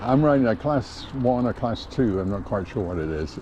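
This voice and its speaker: A man of medium pitch talks at a moderate pace with lively intonation over noticeable background noise. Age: 70s. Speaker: vlogger. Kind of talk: casual vlog narration while riding. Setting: outdoors on a bike trail. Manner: casual, halting with fillers.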